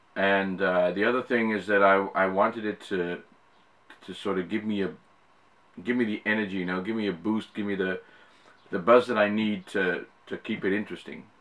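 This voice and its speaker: With long, frequent pauses, a man speaks at a fairly quick pace in a fairly low, monotone, flat voice. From Netherlands. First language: Dutch. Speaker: YouTuber. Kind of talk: casual vlog Q&A. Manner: hesitant, many fillers.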